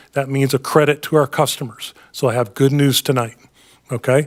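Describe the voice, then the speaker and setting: Recorded dry and close with no echo, a man talks in a fairly high pitch. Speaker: utility finance staff presenter. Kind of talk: board meeting presentation. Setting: public board meeting. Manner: fast; halting, many fillers.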